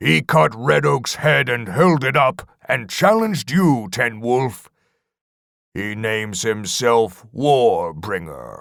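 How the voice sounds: A man's put-on character voice with an act that includes medium pitch, vocal fry, lively intonation, and a slow pace. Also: fairly bright tone, very clean recording, silent background.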